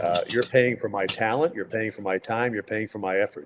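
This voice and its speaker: A man has a normal speaking voice, medium in pitch with ordinary pitch variation. He speaks at a moderate pace. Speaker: radio play-by-play sports announcer. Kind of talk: interview answer, conversational. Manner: relaxed, chatty, humorous.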